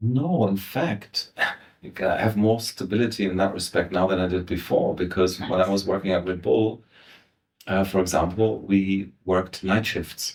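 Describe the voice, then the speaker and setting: A man with a German accent, fairly low in pitch, at a moderate pace with fairly even intonation. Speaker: voice actor. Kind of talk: interview answer.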